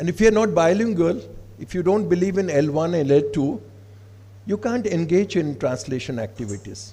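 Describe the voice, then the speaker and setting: A man's fairly high voice with a dark, mellow tone, very wide pitch swings, a moderate pace and audible room echo. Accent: Odisha. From Odisha, India. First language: Odia. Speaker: professor. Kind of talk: conference address. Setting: stage with audience. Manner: formal.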